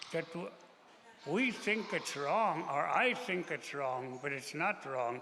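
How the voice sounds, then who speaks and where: A man talks at a fairly slow pace with a fairly high pitch and lively intonation. Noticeable background noise and audible room echo fill the recording. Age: 80s+. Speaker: elder on a panel. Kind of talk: storytelling.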